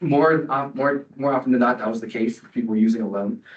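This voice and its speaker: A man with an American accent, fairly even in intonation, at a fairly quick pace. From Colorado, US. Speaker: public commenter, entrepreneur in recovery. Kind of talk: public comment at council meeting. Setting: meeting room, no microphone. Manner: loud; hesitant, many fillers. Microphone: no microphone.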